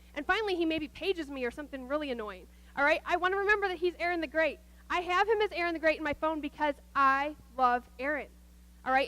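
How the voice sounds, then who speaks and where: An extremely high-pitched woman's voice, raised and projected, bright and sharp in tone, animated and very fast. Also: ordinary pitch variation. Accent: Midwestern American. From US Midwest, Nebraska. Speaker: guest speaker at church, nurse. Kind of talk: sermon.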